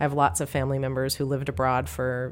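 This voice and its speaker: With an American accent and vocal fry, a woman talks very fast at a very deep, low pitch. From US Pacific Northwest. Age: 40s. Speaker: memoir author. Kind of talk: casual chat.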